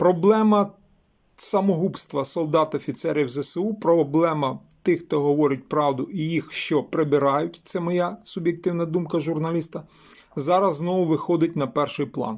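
Ordinary pitch variation from a man speaking fairly slowly. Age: 50s. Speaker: journalist and video blogger. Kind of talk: video commentary monologue.

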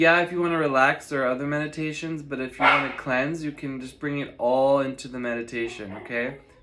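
Against loud background noise, a man talks at a fairly quick pace and fairly high pitch, with hardly any pauses. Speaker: meditation guide and astrologer. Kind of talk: guided meditation. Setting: online video, solo. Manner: soothing, steady and directive. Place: home room. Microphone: phone near.

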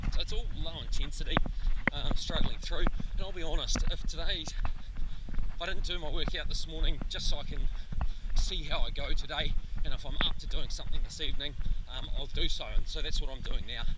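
Loud background noise surrounds a man talking at a fairly quick pace. The sound is dry, with no echo. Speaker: running coach. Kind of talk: casual vlog chat. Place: open country. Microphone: phone near.

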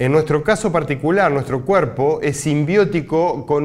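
A man with a fairly high voice speaks against a quiet background. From Uruguay. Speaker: scientist; university lecturer. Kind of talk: recorded lecture. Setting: pre-recorded presentation, not physically present. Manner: halting, frequent filler sounds.

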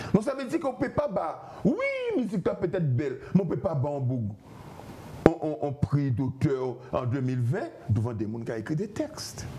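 A man talks at a moderate pace with very wide pitch swings and long, frequent pauses over light background noise. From Guadeloupe. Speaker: musician. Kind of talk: TV interview. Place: studio. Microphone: lapel.

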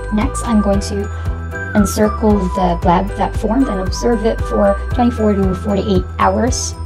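A woman speaks at a fairly slow pace with a very deep, low pitch and very wide pitch swings. Clear music plays in the background. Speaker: student nurse. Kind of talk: instructional demonstration narration. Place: home room. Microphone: lapel.

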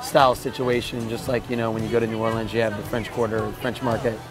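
Clear music plays in the background. The voice itself sounds dry, with no echo. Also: man. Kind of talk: interview answer. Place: bar.

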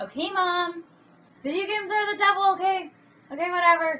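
Whiny and put-on, a character voice runs at a fairly quick pace with fairly even intonation. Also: woman, extremely high pitch for a woman. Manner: whiny then excited.

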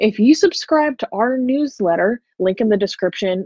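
A woman's voice, dry with no echo, over a quiet background. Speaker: channel cohost. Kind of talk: promotional ad read. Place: home room. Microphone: earbuds.

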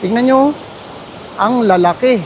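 A man at a very slow pace, ordinary pitch variation, noticeable background noise behind him. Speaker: travel vlogger. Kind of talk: vlog narration. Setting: outdoors. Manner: halting; animated.

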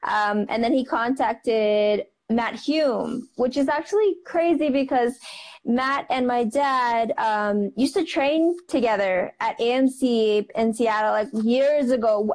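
A woman speaks in a high pitch with ordinary pitch variation over a quiet background. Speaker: guest. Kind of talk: interview answer. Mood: warm, animated. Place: home room. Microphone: earbuds.

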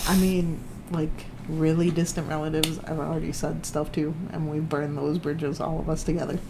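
A man with an American accent speaks in a monotone, flat intonation at a fairly quick pace, with noticeable background noise. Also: fairly high pitch for a man. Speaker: YouTube reaction channel co-host. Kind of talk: casual chat. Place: home room. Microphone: webcam.

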